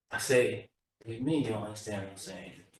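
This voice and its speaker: A man speaks at a very fast pace, somewhat breathy, with fairly even intonation. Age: 60s. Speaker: community member. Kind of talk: public testimony.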